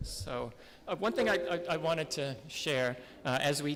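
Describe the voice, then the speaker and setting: A man with an American accent at a moderate pace and fairly high pitch, with ordinary pitch variation, on a very clean recording with a silent background. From New Jersey, US. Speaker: town representative. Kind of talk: conference speech.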